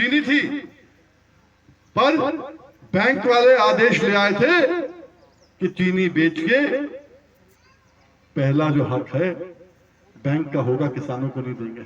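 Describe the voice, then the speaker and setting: Over noticeable background noise and audible room echo, a man with a high pitch makes very wide pitch swings and big swings in loudness, leaving long, frequent pauses. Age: 60s. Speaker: farmer leader. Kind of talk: political speech to farmers. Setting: stage with audience.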